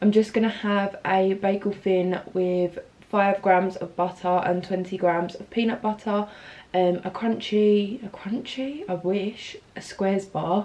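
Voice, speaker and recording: A woman speaks at a medium pitch and a fairly slow pace. Her intonation stays fairly even. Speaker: fitness vlogger. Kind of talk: casual vlog. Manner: speaking quietly.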